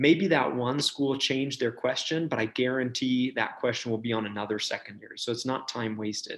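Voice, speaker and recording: The man's voice sits at a medium pitch. He barely pauses at all. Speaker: medical school admissions advisor. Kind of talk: webinar presentation. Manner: fast; animated.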